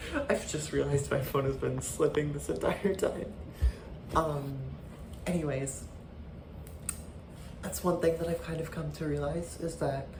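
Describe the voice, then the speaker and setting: A woman's fairly slow speech with long, frequent pauses amid noticeable background noise. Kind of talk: casual talk to camera. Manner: hesitant, halting.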